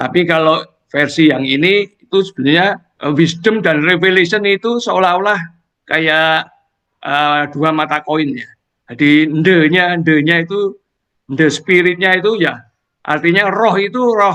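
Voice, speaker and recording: A man with a Semarang accent speaks at a fairly slow pace. His pitch is high, with ordinary variation. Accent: Javanese (Semarang). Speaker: lay preacher sharing testimony. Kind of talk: Bible sharing in online fellowship. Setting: Zoom video call. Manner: casual, hesitant with fillers.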